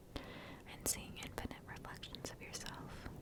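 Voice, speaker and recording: Someone is whispering. Noticeable background noise sits behind it. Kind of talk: whispered ASMR story reading. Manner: whispered, soft.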